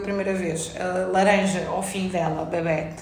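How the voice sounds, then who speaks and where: A woman speaks at a medium pitch. There is audible room echo and music in the background. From France, Paris suburbs, then Portugal. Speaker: illustrator. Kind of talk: casual chat.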